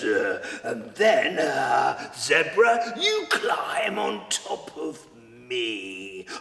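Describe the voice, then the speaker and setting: Over noticeable background noise, a man delivers a theatrical, dramatic reading at a very slow pace with hardly any pauses. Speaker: storyteller. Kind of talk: children's story telling.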